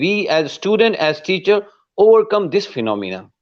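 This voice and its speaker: A man with a non-native accent and a high-pitched voice. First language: not English. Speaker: English teacher and interviewer. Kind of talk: interview.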